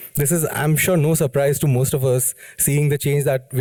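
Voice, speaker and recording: This man's voice is fairly high in pitch, with a dark, mellow tone and a somewhat breathy quality. He talks at a fairly quick pace. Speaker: business consultant. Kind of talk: lecture. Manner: fast.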